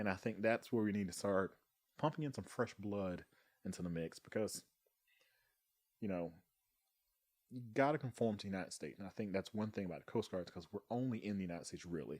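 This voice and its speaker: Talking at a very fast pace broken by long, frequent pauses, a man with a Southern US accent uses a fairly low pitch and ordinary pitch variation. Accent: Southern US (Georgia). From US South, Thomasville, Georgia. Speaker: Coast Guard member. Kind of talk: casual chat.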